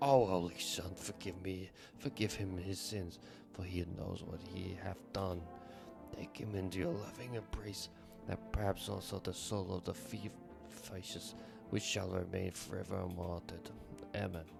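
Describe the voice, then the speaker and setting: A man's strained, put-on character voice, very deep and low in pitch, at a moderate pace with long, frequent pauses over loud music in the background. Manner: strained, pious, shifting voices.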